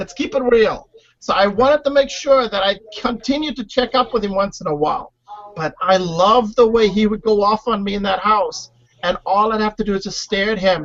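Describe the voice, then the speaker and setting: A man speaks at a high pitch and a fairly quick pace. His pitch varies an ordinary amount. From South Africa, Cape Town. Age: 40s. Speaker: reality TV contestant. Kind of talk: interview.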